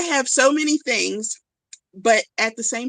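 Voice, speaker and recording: A woman with a slight Southern US accent, in a dry, close sound with no echo. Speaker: crochet YouTuber. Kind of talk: casual live-stream chat.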